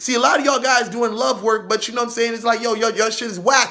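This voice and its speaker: This man's voice sits at an extremely high pitch, bright and sharp. He sounds animated and loud. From Haiti. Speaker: vodou spiritual practitioner. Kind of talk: boastful vlog monologue.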